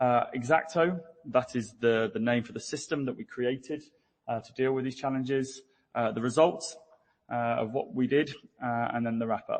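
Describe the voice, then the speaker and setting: Speaking in a British accent, a man keeps a medium pitch, ordinary pitch variation and a moderate pace, with big swings in loudness. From UK. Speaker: business development engineer. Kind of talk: conference presentation. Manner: hesitant, many fillers.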